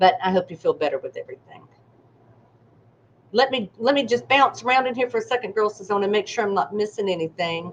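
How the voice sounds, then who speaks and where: This woman has a fairly high pitch, lively intonation and a slight Southern US accent. Her pace is very fast, broken by long, frequent pauses. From US South. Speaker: psychic medium. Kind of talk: live stream readings. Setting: live stream. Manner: animated.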